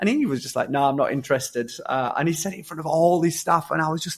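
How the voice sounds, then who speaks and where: This man talks very fast in a Yorkshire accent, his pitch high. His intonation is lively. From Yorkshire, England. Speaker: social entrepreneur, former prisoner. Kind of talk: podcast interview. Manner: hesitant, many repetitions and fillers.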